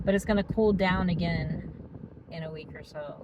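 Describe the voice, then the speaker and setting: A woman keeps to a moderate pace as noticeable background noise carries on around her. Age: 60s. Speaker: weight loss vlogger. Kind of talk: casual vlog monologue. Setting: parked car in parking structure. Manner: chatty, with many fillers.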